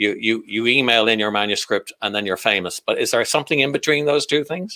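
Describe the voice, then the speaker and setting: Fairly brisk speech from a man, with normal variation in pitch. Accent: Irish. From Ireland. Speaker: comedian and talk host. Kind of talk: online panel talk.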